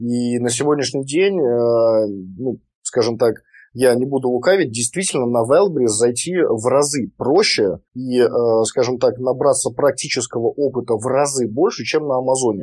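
A plain, everyday voice at a fairly slow pace with ordinary pitch variation. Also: man, medium pitch for a man. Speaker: online seller and trainer. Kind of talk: interview.

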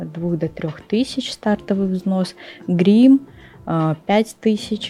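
Against noticeable background noise, a woman speaks at a very slow pace and a medium pitch. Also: ordinary pitch variation. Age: 20s. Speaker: fitness competitor. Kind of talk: casual chat.

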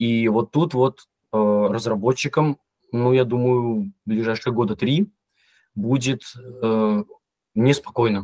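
Dry and close with no echo, this very clean recording with a silent background has a man speaking at a very slow pace with long, frequent pauses, a medium pitch, ordinary pitch variation, very even loudness and a dark, mellow tone. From Belarus, Mogilev region. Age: 30s. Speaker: machine learning engineer. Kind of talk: casual interview.

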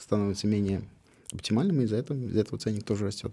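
A man speaks in a fairly low pitch with a dark, mellow tone. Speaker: cider maker. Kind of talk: casual chat.

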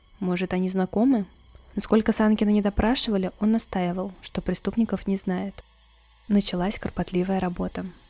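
A woman at a medium pitch and moderate pace, dramatic in tone yet monotone and flat in intonation, with music in the background. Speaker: podcast host, true crime storyteller. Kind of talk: true-crime narration. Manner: grave, suspenseful storytelling with dramatic pauses and rhetorical questions; measured, dry, matter-of-fact reporting of police case facts.

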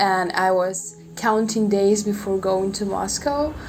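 With audible room echo and noticeable background noise, a woman talks at a very slow pace, medium pitch, and fairly even intonation. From Transnistria. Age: young. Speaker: university student. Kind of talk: casual interview chat.

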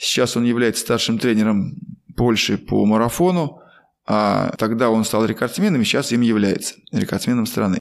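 Speaking in a normal speaking voice at medium pitch, a man keeps a moderate pace, very even loudness and ordinary pitch variation. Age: 50s. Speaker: former marathon runner and running coach, podcast host. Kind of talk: casual interview.

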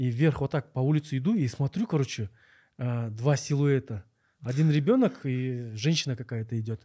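A man's somewhat breathy voice at medium pitch, dark and mellow in tone, at a moderate pace, dry and close with no echo, on a very clean recording with a silent background. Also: ordinary pitch variation. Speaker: podcast host. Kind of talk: interview; scripted narration.

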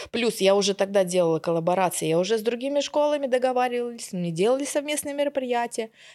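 A woman's very fast speech, fairly high in pitch, with a dark, mellow tone and lively intonation. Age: 40s. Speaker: sales expert. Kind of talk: casual chat.

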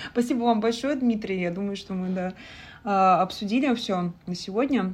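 At a moderate pace, a woman speaks in a somewhat breathy voice of medium pitch with ordinary pitch variation. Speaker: podcast host. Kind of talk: interview. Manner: halting.

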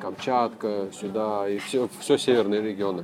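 The voice keeps a moderate pace while music sounds in the background. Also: man. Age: 30s. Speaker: motorcycle traveler. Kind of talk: casual interview.

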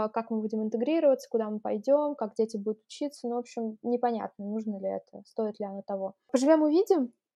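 Speaking at a fairly quick pace with ordinary pitch variation, this is a plain, everyday voice. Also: woman. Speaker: entrepreneur, consultant. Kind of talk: interview.

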